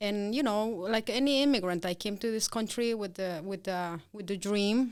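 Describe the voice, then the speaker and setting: This woman speaks in a Peruvian accent. Her pitch is medium. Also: ordinary pitch variation, moderate pace. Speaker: business owner. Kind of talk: interview. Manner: halting.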